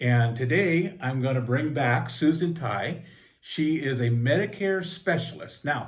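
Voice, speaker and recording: Room echo is audible around a man with a fairly high pitch. His voice is somewhat breathy, and his pitch variation is ordinary. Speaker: local talk show host. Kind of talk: interview. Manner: casual.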